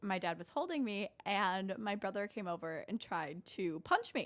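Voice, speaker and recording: Delivered at a moderate pace with ordinary pitch variation, a plain, everyday voice carries an American accent. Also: woman, medium pitch for a woman, very clean recording, silent background. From central Wisconsin, US Midwest. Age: 20s. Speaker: graduating student. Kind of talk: interview. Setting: university campus.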